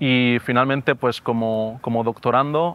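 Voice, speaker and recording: A man is speaking. The sound is dry, with no echo. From Valencia, Spain; Spain. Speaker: doctoral student in education. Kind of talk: testimony. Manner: halting, with frequent repetitions and fillers. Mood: calm, reflective. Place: garden.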